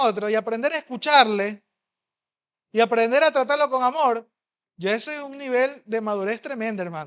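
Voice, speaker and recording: A man's animated, bright, sharp tone, dry and close with no echo. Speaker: pastor. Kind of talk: sermon. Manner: fast.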